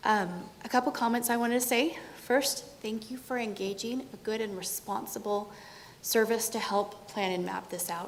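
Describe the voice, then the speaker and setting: Intonation stays fairly even at a moderate pace. Audible room echo is present. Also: woman. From California. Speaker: resident giving public comment. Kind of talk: public comment at city council meeting. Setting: city council meeting in city hall.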